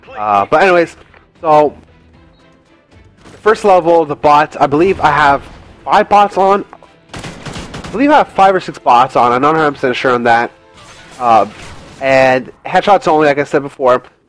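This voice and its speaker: Over background music, a man talks at a moderate pace with lively intonation and a fairly high pitch. Long, frequent pauses and big swings in loudness mark his delivery. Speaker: video game coach. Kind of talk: tutorial. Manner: casual, with filler words.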